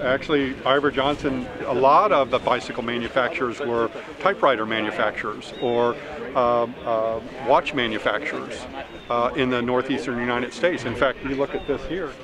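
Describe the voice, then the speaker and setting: Against noticeable background noise, a man speaks at a moderate pace with ordinary pitch variation, and the sound is dry with no echo. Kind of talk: interview answer. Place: open country. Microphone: camera far.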